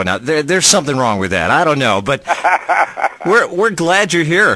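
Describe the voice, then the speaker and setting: A man's fairly high voice at a moderate pace with very wide pitch swings, over noticeable background noise. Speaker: country radio host. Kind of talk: radio show banter and promo with guests. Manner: friendly, conversational interview banter.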